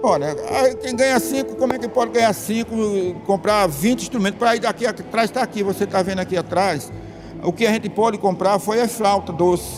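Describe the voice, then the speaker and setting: With music in the background, a man talks fairly quickly at a high pitch with ordinary pitch variation. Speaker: band conductor and music teacher. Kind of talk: interview. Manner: fast; animated.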